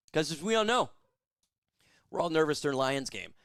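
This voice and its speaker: In a very clean recording with a silent background, a man is heard. His tone is animated, with very wide pitch swings. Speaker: sports live-stream host. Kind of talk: live game stream chat. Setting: home studio with lights.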